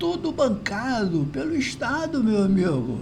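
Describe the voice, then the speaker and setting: A man speaks at a high pitch with very wide pitch swings. Audible room echo and noticeable background noise surround him. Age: 70s. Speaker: philosophy commentator. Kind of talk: video monologue commentary. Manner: hesitant, repetitive fillers.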